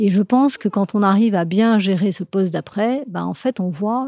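In a very clean recording with a silent background, a woman talks at a medium pitch with ordinary pitch variation and a dark, mellow tone. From Morocco, Casablanca. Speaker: HR director of a large bank. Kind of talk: interview.

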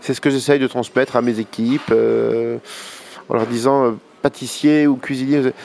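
At a fairly slow pace, a man speaks in a monotone, flat intonation at medium pitch, with long, frequent pauses and very even loudness. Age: 50s. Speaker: pastry chef. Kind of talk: interview. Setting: brasserie.

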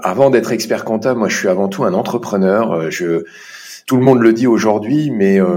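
A man with an unremarkable speaking voice, medium in pitch, talks at a moderate pace with lively intonation. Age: 40s. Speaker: chartered accountant. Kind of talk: interview.

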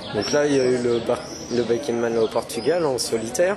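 Amid noticeable background noise and audible room echo, a man speaks at a moderate pace with lively intonation. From France, Poitiers area. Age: 20s. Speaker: ultra-distance cyclist. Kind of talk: interview.

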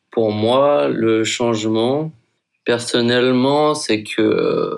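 At a very slow pace, a man with a medium pitch speaks in fairly even intonation. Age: 20s. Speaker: university student. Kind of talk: casual testimony. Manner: casual slangy.

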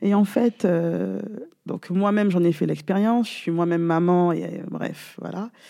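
Pitch varies in an ordinary way while the delivery stays fairly slow. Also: woman, fairly low pitch for a woman. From Guadeloupe. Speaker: gwoka dancer and trainee coach. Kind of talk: interview. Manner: talkative.

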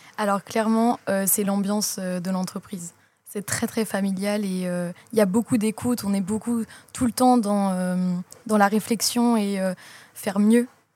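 Somewhat breathy and dark, mellow in tone, a woman speaks at a medium pitch and a fairly slow pace with monotone, flat intonation and long, frequent pauses. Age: 20s. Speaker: chocolatier employee. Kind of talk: interview. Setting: chocolate shop. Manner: hesitant.

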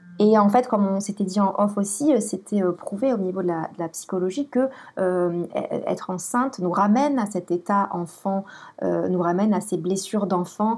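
A woman speaks at medium pitch and a moderate pace. Her pitch variation is ordinary, and the background is quiet. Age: 30s. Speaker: blogger and photographer. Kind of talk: interview about personal life. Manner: halting, many repetitions and hesitations.

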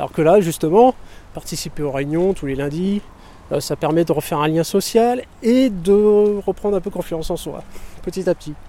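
A man's high, dark, mellow voice at a moderate pace, with ordinary pitch variation. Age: 30s. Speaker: unemployed resident. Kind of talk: interview. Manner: halting.

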